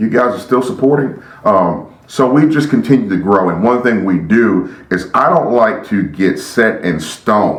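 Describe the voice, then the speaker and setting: A man talks at a moderate pace with a medium pitch. Audible room echo and noticeable background noise surround him. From grew up moving around as an Army child. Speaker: youth pastor and podcast host. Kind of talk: podcast monologue. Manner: occasional stutter when excited; animated.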